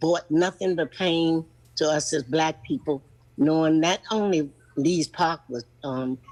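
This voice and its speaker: Behind a woman with an American accent, the background is silent in a very clean recording. Her pitch is very deep and low, with ordinary variation, at a fairly slow pace. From Charlottesville, Virginia (US South). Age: 80s+. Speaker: public commenter. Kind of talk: public comment testimony.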